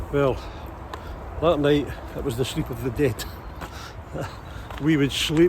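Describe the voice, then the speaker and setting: A man's fairly high-pitched voice at a moderate pace, with noticeable background noise. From Ayrshire, Scotland. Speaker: hypnotherapist. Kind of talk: casual talk to camera, outdoors. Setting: outdoors.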